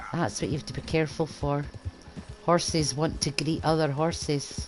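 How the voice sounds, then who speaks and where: With noticeable background noise around her, a woman speaks in a very deep, low pitch and fairly even intonation. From east coast Scotland. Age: old. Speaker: gaming streamer. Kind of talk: game commentary. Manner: casual.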